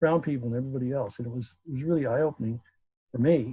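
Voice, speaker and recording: Against a quiet background, a man with an American accent speaks at a medium pitch and sounds somewhat breathy. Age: 70s. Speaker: class participant. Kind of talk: group discussion. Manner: halting.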